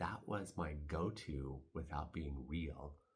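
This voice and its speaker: A man talks in a somewhat breathy voice. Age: 60s. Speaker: stage actor. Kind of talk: casual reflective talk to camera.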